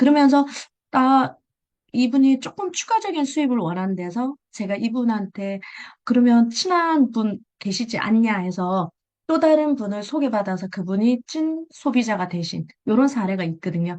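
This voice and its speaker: At a moderate pace, a woman with a fairly high voice speaks with lively intonation. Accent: Busan. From Busan, South Korea. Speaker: direct sales seller sharing tips. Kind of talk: presentation in an online meeting. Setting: video call. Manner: conversational, with fillers.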